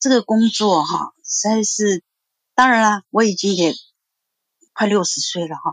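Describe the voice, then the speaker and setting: Pausing long and often, a woman talks at a fairly slow pace in a fairly high pitch with ordinary variation, the sound dry and close with no echo. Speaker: insurance agent, caller. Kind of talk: call-in testimony.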